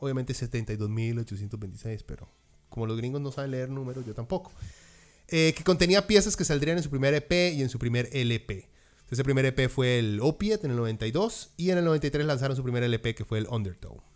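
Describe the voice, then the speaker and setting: Animated in tone and lively in intonation, a man with a Costa Rican accent talks at a medium pitch and moderate pace. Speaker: music podcast host. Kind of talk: casual chat.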